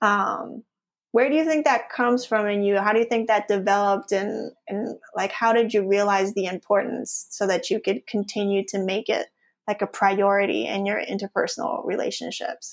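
Speaking at a moderate pace, a woman shows vocal fry and ordinary pitch variation. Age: 40s. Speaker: wellbeing and productivity coach. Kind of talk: casual chat.

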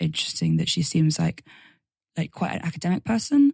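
The sound is dry and close with no echo as a woman talks with an English accent. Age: 20s. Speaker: singer-songwriter. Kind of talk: casual interview.

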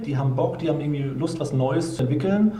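A man talks at a fairly quick pace in a fairly high pitch, with audible room echo. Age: 30s. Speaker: software company co-founder. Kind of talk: interview.

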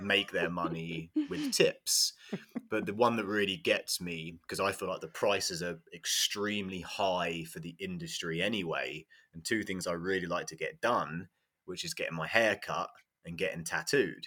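A man speaks at a moderate pace in an English accent. The recording is very clean, with a silent background. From England. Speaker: football coach. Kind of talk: casual chat.

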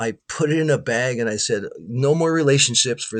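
This man has a normal speaking voice and a Canadian accent. He talks at a moderate pace with ordinary pitch variation. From Canada, Winnipeg. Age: 60s. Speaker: guitarist. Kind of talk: casual chat.

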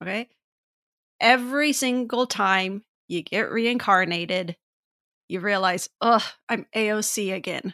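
A woman speaks very slowly at medium pitch, leaving long, frequent pauses. The very clean recording has a silent background and a dry, close sound with no echo. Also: ordinary pitch variation. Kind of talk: casual chat.

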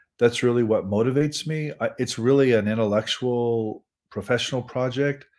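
A man with an American accent, medium in pitch, at a moderate pace with fairly even intonation, an unremarkable speaking voice on a very clean recording with a silent background. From Nebraska. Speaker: professor. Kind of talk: interview.

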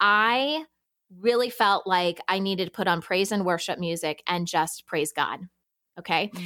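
Her tone bright and sharp, a woman speaks fairly slowly at a medium pitch with ordinary pitch variation, in a dry, close sound with no echo. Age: 40s. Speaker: podcast producer and working mom. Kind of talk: casual interview chat. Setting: remote podcast recording.

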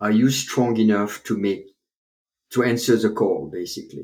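This man speaks with a French accent and ordinary pitch variation. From France (Paris). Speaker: chiropractor, author and public speaker. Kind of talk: interview, storytelling.

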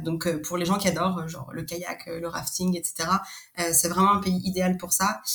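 A woman speaks at a fairly slow pace with fairly low pitch. Her intonation is fairly even, with noticeable background noise behind her. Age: 30s. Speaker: expat interviewee. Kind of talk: interview. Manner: hesitant, many fillers.

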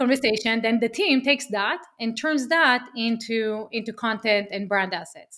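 Her tone is bright and sharp. The woman's pitch sits fairly high. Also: very clean recording, silent background. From Israel. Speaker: media agency founder. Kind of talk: podcast interview. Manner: animated.

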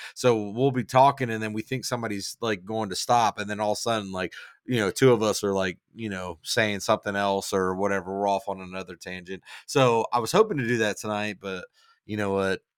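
Recorded very cleanly against a silent background, with a dry, close sound and no echo, a man speaks at a fairly low pitch and a fairly quick pace. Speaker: podcast host. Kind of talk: casual chat. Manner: animated, profane.

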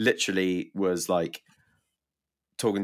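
A British accent at a moderate pace. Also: man. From UK. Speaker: musician. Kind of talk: casual chat. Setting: video call.

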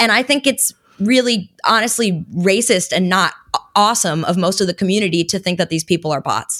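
A woman with an unremarkable speaking voice talks at a fairly quick pace. Her pitch is medium with ordinary variation, in a dry, close sound with no echo. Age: 20s. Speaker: crypto internet personality. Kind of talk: casual chat.

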